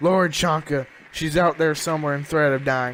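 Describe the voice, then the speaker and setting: A man puts on a gruff character voice at a fairly high pitch. He keeps a moderate pace and fairly even intonation. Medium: read story. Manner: aggressive, shouting.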